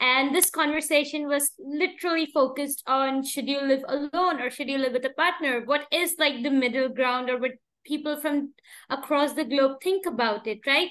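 Her pitch is high and her intonation fairly even. The woman keeps a moderate pace. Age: 20s. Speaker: podcast host. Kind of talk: interview.

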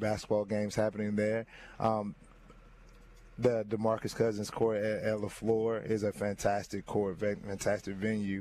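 The voice has a dark, mellow tone in an American accent. It moves at a moderate pace with monotone, flat intonation. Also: man. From US South. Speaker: high school basketball coach. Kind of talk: interview.

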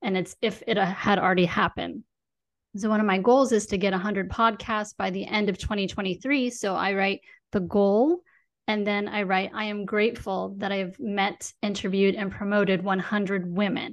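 Over a quiet background, a woman talks at a moderate pace with fairly even intonation. Hers is an unremarkable speaking voice, medium in pitch. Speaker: podcast host and money coach. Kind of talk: casual interview. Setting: studio.

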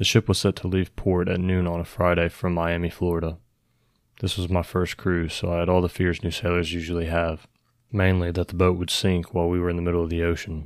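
The voice has a calm tone and moves at a fairly quick pace in a flat monotone. The recording is very clean, with a silent background. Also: man, very deep, low pitch for a man. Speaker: story narrator reading listener-submitted story. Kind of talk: scripted horror narration, first-person story reading. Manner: measured, storytelling pace, suspenseful; calm, conversational, building dread.

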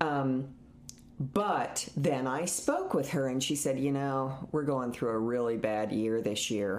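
A woman talks at a very slow pace, her very deep, low pitch held at a very even loudness. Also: ordinary pitch variation. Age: 60s. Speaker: hair and makeup artist. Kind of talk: casual chat. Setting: home rental in Austin, Texas.

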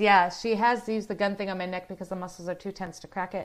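Against a silent background in a very clean recording, a woman with an American accent speaks in an animated tone at a fairly quick pace and a medium pitch. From US Midwest (Southeast Ohio). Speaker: live-stream host. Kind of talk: casual chat. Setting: solo live stream reading viewer comments.

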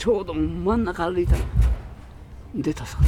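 Noticeable background noise sits under a man who talks at a moderate pace. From Tokyo (Akasaka). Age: 90s. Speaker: electronics shop owner. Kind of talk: interview. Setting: in his shop.

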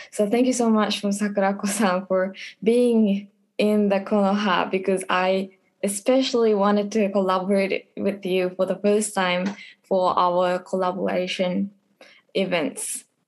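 A woman's monotone, flat intonation in a Japanese accent, with very even loudness and a fairly slow pace. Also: medium pitch for a woman. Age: 20s. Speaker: college student. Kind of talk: casual interview.

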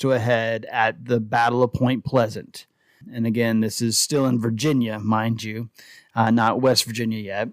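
This is a man speaking. His pace is moderate. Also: very clean recording, silent background. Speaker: podcast host. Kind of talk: casual chat. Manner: rambling, halting, stumbling repeats.

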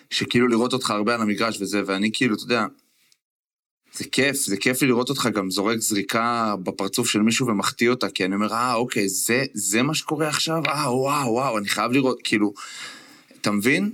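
Speaking at a fairly quick pace, a man uses a bright, sharp tone with ordinary pitch variation. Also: medium pitch for a man. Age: 30s. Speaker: former basketball player and podcast co-host. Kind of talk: casual chat. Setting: remote recording from a motel in California.

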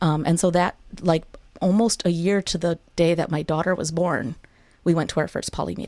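A woman's unremarkable speaking voice, fairly low in pitch, with fairly even intonation and an American accent. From US Midwest (Wisconsin). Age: 30s. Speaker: educator. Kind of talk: casual interview.

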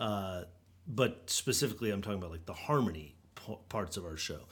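A man speaks with an American accent at a very fast clip. His intonation is lively. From Los Angeles. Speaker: singer-songwriter. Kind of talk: casual chat.

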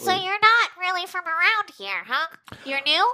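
A squeaky put-on character voice at an extremely high pitch and a moderate pace. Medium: actual play. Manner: folksy, friendly, nosy.

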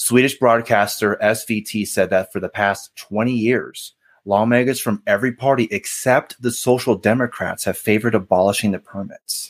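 A man speaks in a plain, everyday voice, medium in pitch, at a moderate pace with hardly any pauses. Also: fairly even intonation, dry, close sound with no echo. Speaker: podcast co-host guest. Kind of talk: casual conversation.

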